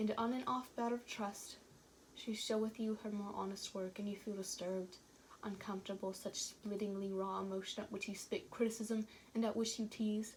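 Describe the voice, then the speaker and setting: A woman talks at a moderate pace in a fairly high pitch with monotone, flat intonation. Noticeable background noise sits behind her. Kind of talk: poetry reading.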